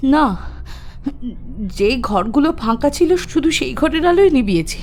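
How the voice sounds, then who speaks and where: A woman uses a put-on character voice with a high pitch and a shaky quality. She speaks at a moderate pace over clear background noise. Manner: trembling, fearful.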